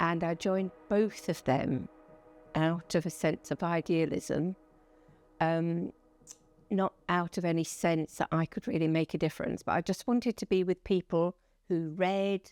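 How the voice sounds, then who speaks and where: In a southern English accent, a woman speaks at a fairly slow pace and fairly low pitch with fairly even intonation, the sound dry and close with no echo. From Essex, England. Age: 70s. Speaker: police and crime commissioner. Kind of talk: interview.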